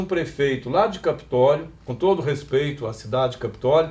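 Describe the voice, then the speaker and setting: At a moderate pace, a man talks in an ordinary speaking voice. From Brazil, Minas Gerais (Passos region). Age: 60s. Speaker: union election candidate, retired teacher. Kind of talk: campaign interview.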